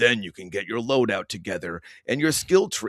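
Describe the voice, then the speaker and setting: In a put-on character voice, a man speaks at medium pitch and a moderate pace with very wide pitch swings and big swings in loudness, the sound dry and close with no echo. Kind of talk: promotional voiceover. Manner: serious.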